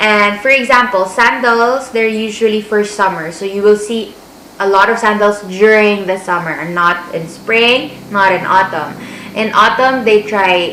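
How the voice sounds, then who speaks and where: A woman with a fairly high pitch speaks at a fairly slow pace, with audible room echo and noticeable background noise. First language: Filipino (Tagalog). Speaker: vlogger, language assistant. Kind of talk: casual vlog advice.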